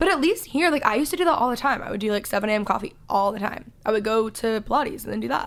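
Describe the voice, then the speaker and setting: A woman with an American accent, fairly high in pitch, at a very fast pace with hardly any pauses and lively intonation. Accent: Valley Girl accent, says y'all. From Texas, Dallas. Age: 20s. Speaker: podcast host. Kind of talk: casual chat. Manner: loud.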